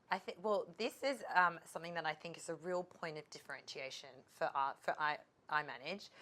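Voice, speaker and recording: Speaking fast-ish in an Australian accent, a woman with a fairly low pitch and a bright, sharp tone swings widely in loudness. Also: ordinary pitch variation. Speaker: legal tech expert, lawyer by background. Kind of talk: trade show interview.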